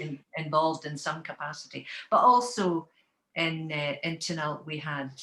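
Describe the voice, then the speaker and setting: A woman with a Scottish Highland accent speaks at a moderate pace in a very deep, low pitch. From Scotland, west coast Highlands (Taynuilt). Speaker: Gaelic singer. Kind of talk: casual interview chat.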